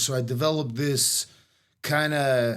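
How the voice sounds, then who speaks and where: On a very clean recording with a silent background, a man uses an ordinary speaking voice with ordinary pitch variation. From West Los Angeles, moved from Moscow at age seven. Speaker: jiu-jitsu coach. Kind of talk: interview. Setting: in person.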